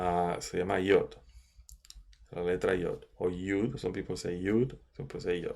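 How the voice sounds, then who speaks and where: Over a very clean recording with a silent background, a man speaks at a fairly slow pace. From Caribbean. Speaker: Kabbalah teacher. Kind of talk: lecture. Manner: halting, many fillers.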